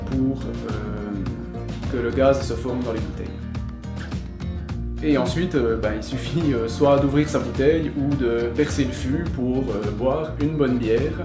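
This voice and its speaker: Clear music plays in the background. A man speaks over it at a moderate pace. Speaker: brewery guide. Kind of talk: informal explanation on a tour. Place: workshop. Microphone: camera far.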